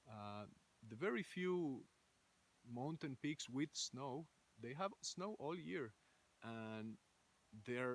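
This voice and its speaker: Speaking very slowly with a Spanish accent, a man uses a medium pitch and lively intonation. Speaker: ecovillage founder. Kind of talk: recorded video message. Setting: outdoors in a forest. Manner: halting, many fillers.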